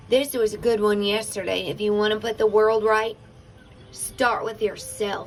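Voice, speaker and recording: Over music in the background, a woman speaks at a fairly slow pace with a fairly high pitch. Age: 40s. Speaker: spiritual livestream host. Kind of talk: casual livestream chat.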